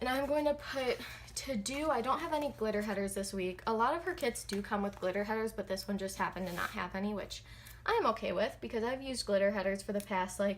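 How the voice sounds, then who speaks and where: A soft-spoken, somewhat breathy woman talks at a moderate pace. Her pitch is fairly high, with ordinary variation. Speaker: planner hobbyist vlogger. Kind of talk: casual chat while planning. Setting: at home.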